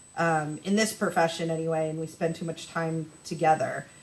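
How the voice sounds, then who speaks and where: A woman speaks at a fairly low pitch and a fairly quick pace. Noticeable background noise runs behind her. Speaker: recreation manager. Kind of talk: casual interview chat. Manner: loud.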